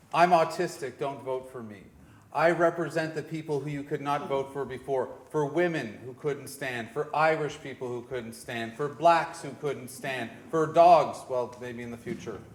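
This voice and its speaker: Audible room echo surrounds a man with a Canadian accent and a fairly high voice, speaking at a moderate pace with hardly any pauses. His loudness swings widely while his pitch varies in an ordinary way. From Canada, Toronto. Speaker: independent candidate. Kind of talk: political debate answer. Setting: church hall with audience.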